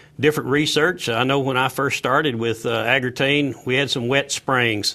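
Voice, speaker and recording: Speaking with a Southern US accent, a man keeps a moderate pace. His pitch is medium and his intonation fairly even. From Tennessee. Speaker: agricultural sales director. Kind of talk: live TV panel interview. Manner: halting, many fillers.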